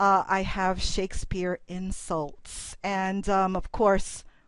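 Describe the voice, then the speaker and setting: A woman with an ordinary speaking voice talks at medium pitch with ordinary pitch variation. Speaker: college instructor. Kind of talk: presentation.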